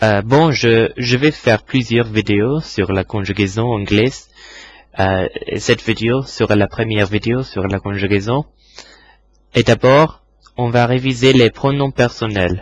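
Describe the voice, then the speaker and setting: A somewhat breathy man with an English accent at a very slow pace, medium pitch, and ordinary pitch variation. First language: English (speaking French). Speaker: English teacher. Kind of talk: tutorial. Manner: halting.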